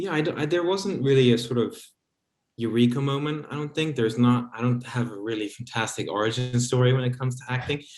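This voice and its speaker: Talking at a very fast pace with an American accent, a man keeps a medium pitch and ordinary pitch variation. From London, UK. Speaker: actor. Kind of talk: casual interview.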